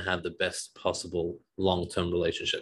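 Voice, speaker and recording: In a very clean recording with a silent background, a man speaks at a moderate pace with an Australian accent. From Australia (Sydney). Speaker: divorce coach and podcast co-host. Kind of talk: casual chat.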